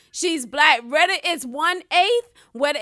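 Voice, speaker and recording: Speaking at a very slow pace, a woman with an extremely high pitch uses a raised, projected voice with a bright, sharp tone. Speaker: guest. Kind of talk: casual chat.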